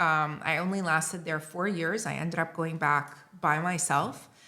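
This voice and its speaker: A woman with a North American accent speaks at a fairly low pitch in a bright, sharp tone. Her intonation is fairly even, and there is audible room echo. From Lebanon (Beirut). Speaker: writer and editor. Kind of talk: casual chat. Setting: recording in Montpellier.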